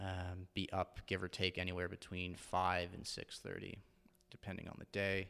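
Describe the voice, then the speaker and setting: In a Canadian accent, a man with a very deep, low pitch speaks in a monotone, flat way with a bright, sharp tone. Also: moderate pace, big swings in loudness, very clean recording, silent background. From Ontario, Canada (Port Elgin, Lake Huron). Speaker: fitness coach. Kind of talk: casual interview.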